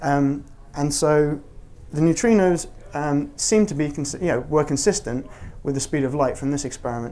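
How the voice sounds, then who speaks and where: The voice belongs to a man. It is fairly high in pitch, with a dark, mellow tone. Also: ordinary pitch variation. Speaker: physicist giving a public talk. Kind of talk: public science talk with Q&A. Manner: fast; halting, many fillers.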